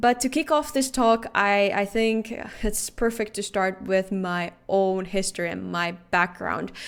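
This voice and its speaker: At a fairly slow pace, someone with a Finnish accent talks with ordinary pitch variation in a very clean recording with a silent background. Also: woman, medium pitch for a woman. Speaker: security researcher. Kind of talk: conference talk.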